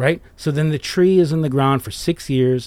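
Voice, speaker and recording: A man in an ordinary speaking voice, fairly quick in pace, with ordinary pitch variation. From US Midwest, southwest Detroit. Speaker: arborist, former nurseryman, business owner. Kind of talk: casual interview chat.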